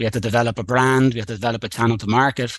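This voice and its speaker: In an Irish accent, a man talks at a very fast pace and medium pitch. His intonation is fairly even, and the background is quiet. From Ireland, Dublin. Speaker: coffee farm company co-founder. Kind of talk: podcast interview.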